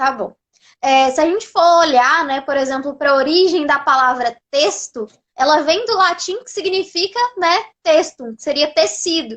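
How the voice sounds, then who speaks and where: A woman speaks with a high pitch at a fairly slow pace. Her loudness swings widely. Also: lively intonation. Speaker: live host. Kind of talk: live online class talk. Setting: live video stream. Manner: soft-spoken. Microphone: sound very quiet.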